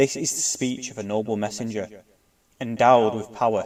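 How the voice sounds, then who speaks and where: At a moderate pace and medium pitch, a man talks in an ordinary speaking voice with fairly even intonation. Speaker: scripture reciter. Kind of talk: scripture reading.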